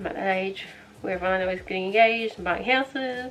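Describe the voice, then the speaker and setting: Over noticeable background noise, a woman talks with an Australian accent and ordinary pitch variation. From Australia (Victoria). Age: 20s. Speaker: beauty vlogger. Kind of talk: casual chat while doing makeup. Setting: bedroom. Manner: fast, chatty.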